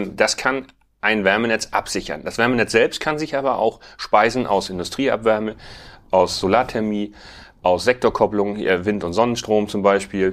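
A man talks in an ordinary speaking voice at a fairly low pitch. His pace is moderate and his pitch varies in an ordinary way. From Schleswig-Holstein, northern Germany. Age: 40s. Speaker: farmer and bioenergy entrepreneur. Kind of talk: casual interview.

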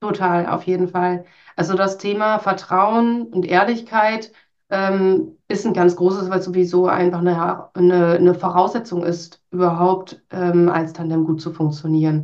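At a fairly slow pace, a woman speaks at medium pitch with fairly even intonation in a plain, everyday voice. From Münsterland, northwestern Germany. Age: 30s. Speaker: HR team leader. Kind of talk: interview.

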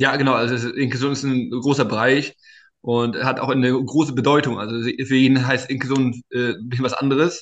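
With a medium pitch and monotone, flat intonation, a man speaks at a moderate pace. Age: 20s. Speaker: startup founder and inclusion advocate. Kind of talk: interview.

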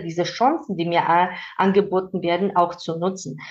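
With a slight Georgian accent, a woman talks at a moderate pace and medium pitch, her intonation fairly even. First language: Georgian (speaking German). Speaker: manager and mentor. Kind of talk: interview conversation. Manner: hesitant with fillers.

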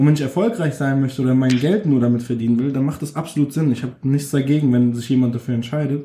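Speaking at a very fast pace with hardly any pauses, a man with a medium pitch sounds somewhat breathy, his tone dark and mellow and his pitch variation ordinary. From Frankfurt, Germany (Nordweststadt). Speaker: rapper. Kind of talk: interview.

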